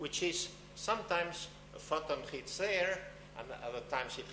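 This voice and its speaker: A man speaks at a moderate pace in a high voice with ordinary pitch variation. Audible room echo and noticeable background noise surround him. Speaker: physics lecturer. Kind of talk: public science lecture.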